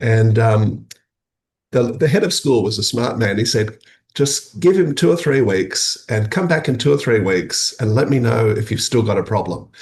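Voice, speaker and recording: Somewhat breathy, a man speaks with lively intonation. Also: medium pitch for a man, moderate pace. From rural Australia, Dutch immigrant family. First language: Dutch. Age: 50s. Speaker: academic and social innovator. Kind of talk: interview conversation. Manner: hesitant, many fillers and restarts.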